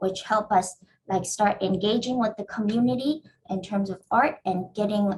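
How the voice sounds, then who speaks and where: A woman speaks in a somewhat breathy voice. Her intonation is fairly even. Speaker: real estate developer. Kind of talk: panel presentation. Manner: halting, many fillers.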